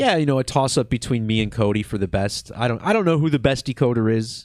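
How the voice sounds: A man speaks at a moderate pace in a relaxed, slightly mellow tone, his pitch medium with ordinary variation. The recording is very clean, with a silent background.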